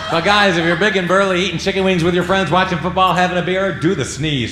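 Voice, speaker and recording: A man talks in a high pitch. Noticeable background noise and audible room echo surround his voice. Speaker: stand-up comedian. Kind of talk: stand-up. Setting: stage with audience. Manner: animated.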